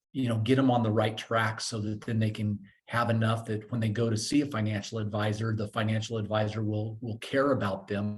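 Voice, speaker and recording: Somewhat breathy and monotone, a man speaks at a medium pitch and a fairly quick pace with flat intonation. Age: 60s. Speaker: financial coaching company founder. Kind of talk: podcast interview. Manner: halting, many repeated words and fillers.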